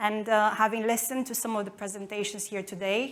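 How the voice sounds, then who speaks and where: Her medium-pitched voice stays monotone and flat as the woman talks at a moderate pace, with audible echo from the room. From Romania. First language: Romanian. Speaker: marketing executive. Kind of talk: conference talk. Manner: halting.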